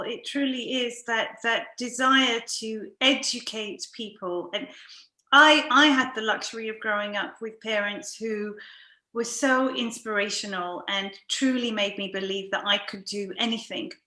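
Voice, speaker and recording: Here a woman talks in a British accent, fairly slowly. Her pitch is fairly high and her tone bright and sharp. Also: ordinary pitch variation. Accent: very British. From London, England. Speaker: podcast host and coach. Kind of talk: interview.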